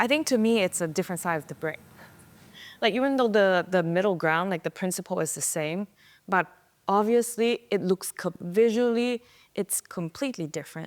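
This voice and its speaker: Recorded very cleanly against a silent background, a speaker with a Thai accent talks at a moderate pace with lively intonation, the sound dry and close with no echo. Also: woman, medium pitch for a woman. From Thailand. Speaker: type designer. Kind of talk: interview answer.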